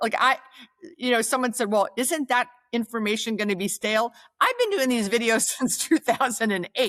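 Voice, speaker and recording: In an American accent and an animated tone, the speaker talks at a moderate pace with ordinary pitch variation, recorded dry and close with no echo. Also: woman, fairly high pitch for a woman. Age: 60s. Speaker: retail real estate consultant and coach. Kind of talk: interview conversation.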